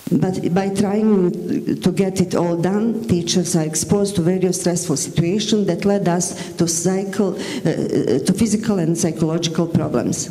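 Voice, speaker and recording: In a Bosnian accent, a woman speaks at a fairly slow pace with a fairly low pitch and fairly even intonation, amid noticeable background noise and audible room echo. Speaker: teacher. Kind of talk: conference presentation. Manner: halting, with self-corrections.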